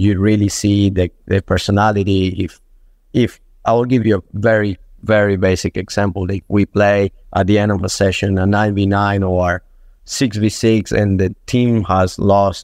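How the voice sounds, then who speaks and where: Speaking with a Spanish accent, a man delivers his lines at a moderate pace in a fairly low, monotone voice with flat intonation, the sound dry and close with no echo over a quiet background. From Venezuela. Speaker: football strength and conditioning coach. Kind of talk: podcast interview. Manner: halting with repetitions.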